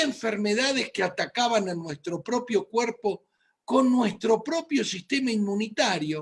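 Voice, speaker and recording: In an Argentine accent, the speaker talks at a fairly slow pace. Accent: Argentine Spanish (Rioplatense). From Argentina, Buenos Aires. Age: 60s. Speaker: physician. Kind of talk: medical lecture.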